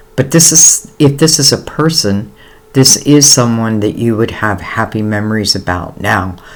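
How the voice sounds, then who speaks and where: A man's medium-pitched voice with lively intonation at a moderate pace, against noticeable background noise. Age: 60s. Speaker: tarot reader. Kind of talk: tarot reading. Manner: casual, hesitant with fillers.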